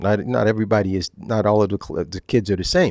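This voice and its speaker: A fairly quick New Jersey accent, dry and close with no echo, on a very clean recording over a silent background. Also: man. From US Northeast, Newark, New Jersey. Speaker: retired teacher, channel presenter. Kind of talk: casual monologue. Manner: casual, repetitive with fillers.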